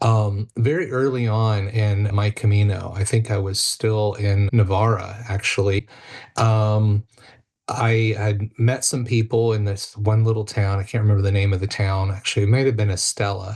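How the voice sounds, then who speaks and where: A man with an American accent, fairly low in pitch, somewhat breathy, with monotone, flat intonation. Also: moderate pace, quiet background. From United States. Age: 50s. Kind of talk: podcast interview.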